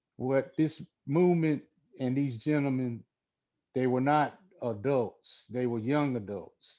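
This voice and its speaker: Speaking very slowly in an American accent, a man with a dark, mellow tone and medium pitch uses ordinary pitch variation against a quiet background. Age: 60s. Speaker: son of a civil rights figure. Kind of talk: interview. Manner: halting.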